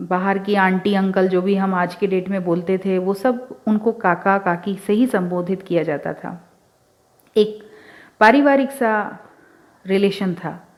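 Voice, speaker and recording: Long pauses come often throughout the speech, while the pitch moves in an ordinary way. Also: woman, medium pitch for a woman. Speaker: radio show host and author. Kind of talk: radio show storytelling narration. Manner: casual, conversational.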